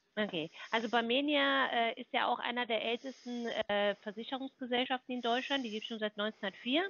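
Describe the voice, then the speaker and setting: A woman talks at a moderate pace with hardly any pauses. Her voice is high-pitched with ordinary pitch variation. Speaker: health insurance sales caller. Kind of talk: phone sales pitch. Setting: phone call. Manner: confident, fluent.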